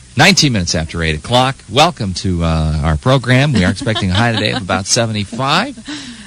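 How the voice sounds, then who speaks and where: Over noticeable background noise, a man with an American accent rushes along at a very fast pace with hardly any pauses, his medium-pitched voice swinging very widely in pitch. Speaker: morning radio co-host. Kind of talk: morning radio show banter and station ID.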